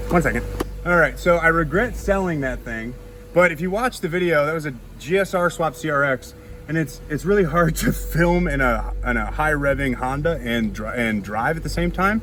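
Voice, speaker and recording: Noticeable background noise fills the recording. Through it, a man delivers his words fairly quickly. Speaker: car vlogger. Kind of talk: casual vlog while driving. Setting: in a car. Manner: loud, yelling over engine; animated.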